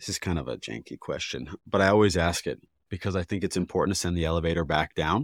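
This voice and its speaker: Very deep, low male voice with vocal fry and ordinary pitch variation, racing at a very fast pace, dry and close with no echo on a very clean recording against a silent background. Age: 30s. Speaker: podcast host, former filmmaker. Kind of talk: casual interview chat.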